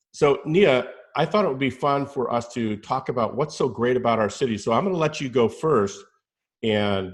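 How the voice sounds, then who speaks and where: In a plain, everyday voice with an American accent, a man speaks at a fairly quick pace and medium pitch. His intonation is lively, and the background is quiet. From US Southwest (New Mexico, Arizona). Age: 50s. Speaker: real estate agent. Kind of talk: casual chat.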